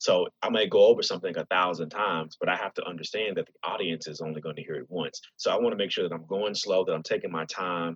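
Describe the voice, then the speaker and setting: The speech runs at a very fast pace with hardly any pauses, in a dry, close sound with no echo. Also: man. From Nashville, Tennessee. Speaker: spoken word artist and actor. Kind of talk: interview. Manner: halting, many repeated words.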